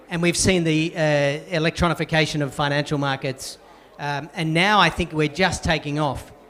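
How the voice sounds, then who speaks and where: Over noticeable background noise, a man speaks at a moderate pace with an Australian accent. His fairly high voice holds a monotone, flat intonation. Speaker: banking executive. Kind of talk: panel discussion.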